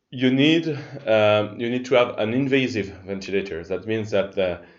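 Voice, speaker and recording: A man with a French accent and a fairly low pitch. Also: ordinary pitch variation, moderate pace. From France. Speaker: open-source ventilator project member. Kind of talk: technical explanation. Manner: halting, many fillers.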